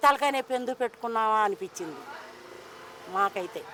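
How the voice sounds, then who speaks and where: A woman projects a raised voice at a high pitch with lively intonation. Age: 60s. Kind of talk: street interview answer.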